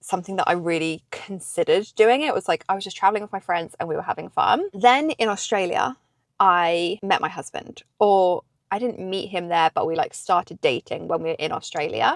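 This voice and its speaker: In a British accent, a woman talks at a fairly quick pace with lively intonation, the sound dry and close with no echo. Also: medium pitch for a woman. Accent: British, unchanged after ten years in US. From England. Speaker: vlogger. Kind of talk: casual chat. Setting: in a parked car.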